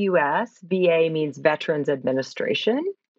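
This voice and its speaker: A woman speaks at a fairly slow pace with an American accent, using an unremarkable speaking voice. Her pitch sits fairly low and varies in an ordinary way. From United States. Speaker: clinical psychologist. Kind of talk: interview.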